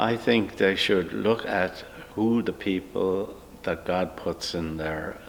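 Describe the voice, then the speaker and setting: Over noticeable background noise, a man with an American accent talks at a very slow pace in a very deep, low pitch. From Ireland, County Wicklow. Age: 80s+. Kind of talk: interview. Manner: hesitant, many fillers.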